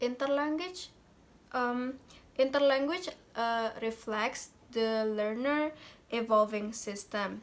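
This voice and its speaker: Very slowly and with long, frequent pauses, a woman speaks with ordinary pitch variation. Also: fairly high pitch for a woman. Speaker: university student. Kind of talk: class presentation. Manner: halting, many fillers.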